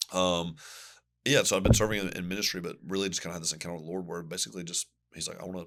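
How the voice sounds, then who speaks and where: With a Southern US accent, a man talks very fast at a very deep, low pitch, with fairly even intonation and big swings in loudness, on a very clean recording with a silent background. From US Southeast. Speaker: pastor. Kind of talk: podcast interview. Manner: casual, conversational.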